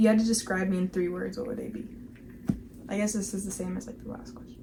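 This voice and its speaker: A woman with an American accent, medium pitch and an animated tone, talking at a very fast pace amid noticeable background noise and audible room echo. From Minnesota, Minneapolis. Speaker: lifestyle vlogger. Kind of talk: casual chat.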